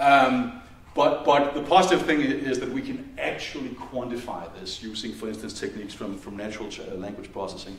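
Speaking at a fairly quick pace in a Danish accent, a man is heard with audible room echo. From Denmark. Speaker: university department head. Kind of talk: welcome speech. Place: hall.

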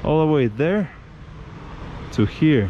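Lively intonation and a dark, mellow tone at a slow pace, with faint background noise. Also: man, fairly high pitch for a man.

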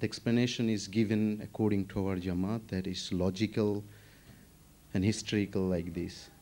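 In a Bengali accent, this voice has a dark, mellow tone and moves at a moderate pace. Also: man. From Bangladesh. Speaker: audience member asking a question; audience member. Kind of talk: question from audience. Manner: halting. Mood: calm, inquiring. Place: studio. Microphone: studio mic.

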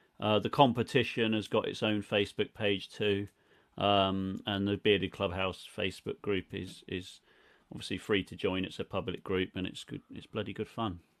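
Fairly low male voice in a southern English accent, moderate in pace, with fairly even intonation. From southern England, Reading, Berkshire; southern England. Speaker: beard products business owner; guest. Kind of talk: casual interview chat. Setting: video call. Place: home room.

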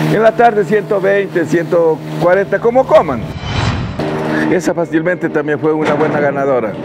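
Amid loud background noise, a man talks at a moderate pace with long, frequent pauses. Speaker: cattle farmer. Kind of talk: interview answer. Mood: proud, warm. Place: farm machine. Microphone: lapel.

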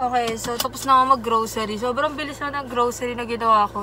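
A woman's voice with fairly even intonation, dry with no echo, over noticeable background noise. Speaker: vlogger. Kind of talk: casual vlog chat. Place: car. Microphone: phone near.

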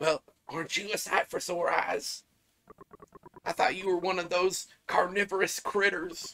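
A man puts on a raspy character voice, high-pitched and fairly even in intonation. His pace is moderate, broken by long, frequent pauses. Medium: solo performance. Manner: wordy, flustered.

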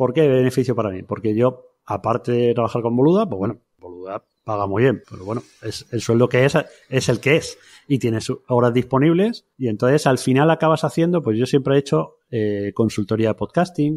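A man with a normal speaking voice, medium pitch, ordinary pitch variation and a moderate pace, on a very clean recording with a silent background. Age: 40s. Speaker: podcaster and podcast platform creator. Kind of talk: interview conversation. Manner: casual, informal.

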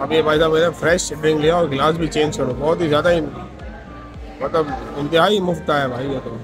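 A man with a fairly high pitch speaks fairly quickly and with fairly even intonation, with audible room echo and faint music in the background.

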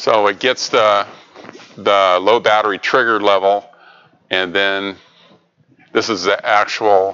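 A man speaks in a fairly low pitch at a very slow pace, with long, frequent pauses. His intonation is monotone and flat, and his loudness very even. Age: 60s. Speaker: robotics educator presenting to programming group; presenter. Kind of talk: technical presentation. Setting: meeting room with microphone. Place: meeting room.

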